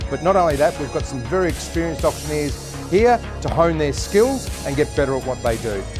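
A man talks at a fairly quick pace with hardly any pauses. Clear music plays in the background. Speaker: real estate company presenter introducing the auction training. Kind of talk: casual talk to camera. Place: hall. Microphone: lapel.

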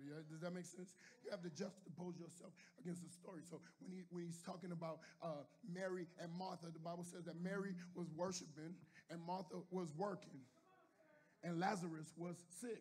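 A man's high-pitched voice at a fairly quick pace, monotone and flat, with audible room echo. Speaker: pastor. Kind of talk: sermon.

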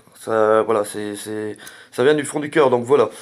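The audio is very clean, with a silent background. A man talks at a moderate tempo, his pitch varying in an ordinary way. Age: 40s. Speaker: gaming YouTuber. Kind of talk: channel update to viewers. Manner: hesitant, many fillers.

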